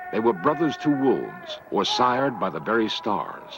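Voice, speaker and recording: Over noticeable background noise, a man speaks at a moderate pace and medium pitch. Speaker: TV documentary narrator. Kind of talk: documentary narration.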